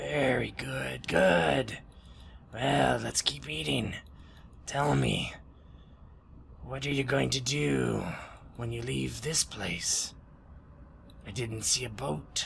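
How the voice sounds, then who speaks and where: Against clear background noise, a man in a put-on character voice speaks at a very slow pace with long, frequent pauses, using a raspy, very deep, low pitch with very wide pitch swings. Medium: actual play. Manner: insistent, jovial.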